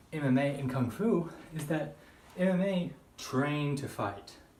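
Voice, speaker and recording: A man speaks with a fairly high pitch and ordinary pitch variation. Noticeable background noise runs underneath. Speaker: kung fu practitioner. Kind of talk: casual talk to camera. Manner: unscripted monologue.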